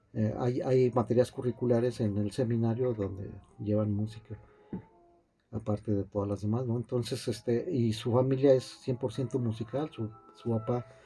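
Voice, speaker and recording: Music plays in the background as a man speaks at a moderate pace and medium pitch with fairly even intonation. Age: 60s. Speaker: piano teacher. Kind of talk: interview. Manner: halting, many fillers and repetitions.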